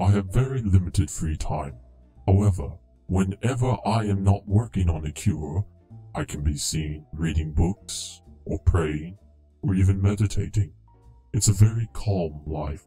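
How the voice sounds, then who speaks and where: A put-on character voice at a moderate pace, with faint music in the background. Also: man, very deep, low pitch for a man. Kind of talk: formal archaic politeness. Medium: solo performance. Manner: calm, prim, solemn, easily scandalized.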